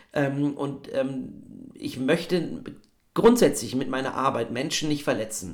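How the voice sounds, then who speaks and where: Very slow, lively-intoned speech from a man at fairly high pitch, with audible room echo. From Bavaria, Regensburg. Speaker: actor and voice actor. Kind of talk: interview conversation. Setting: video call.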